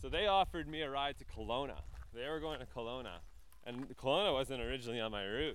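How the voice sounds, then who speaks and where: Speaking very fast with a Canadian accent, a man uses a medium pitch and ordinary pitch variation. The room has audible echo. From Northwest Territories, Canada (Yellowknife). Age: 20s. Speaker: cross-country cyclist. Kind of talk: interview. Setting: outdoors.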